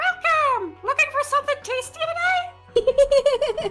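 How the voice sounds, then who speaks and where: In a put-on character voice, the speaker talks at an extremely high pitch and a fairly slow pace over faint music in the background. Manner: cheerful, welcoming.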